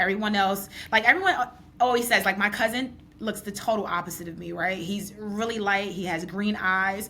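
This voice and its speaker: Over noticeable background noise, a woman with a New York accent speaks fairly quickly at a medium pitch, her intonation fairly even but her loudness swinging widely. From New York, Brooklyn. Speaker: podcast host. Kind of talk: podcast interview.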